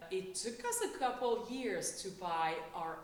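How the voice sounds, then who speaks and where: Noticeable background noise and audible room echo surround a voice with a Quebec accent. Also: woman. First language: French. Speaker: French teacher and immigrant. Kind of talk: oral history interview. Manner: halting, with many fillers and restarts.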